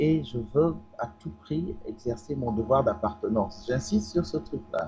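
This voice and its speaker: Lively intonation at a fairly slow pace, with music in the background. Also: man, medium pitch for a man. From Togo. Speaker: political commentator. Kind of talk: panel debate. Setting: studio.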